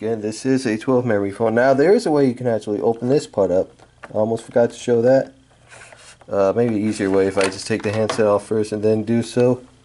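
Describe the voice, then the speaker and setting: A man at a very fast pace, fairly even intonation, light background noise. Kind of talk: casual product review. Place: home room. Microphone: phone near.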